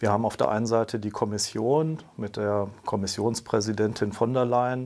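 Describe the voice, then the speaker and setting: Talking at a moderate pace, a man has a fairly low pitch and an ordinary speaking voice. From grew up in Brussels, Belgium. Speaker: state secretary for European affairs. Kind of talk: interview, explanatory.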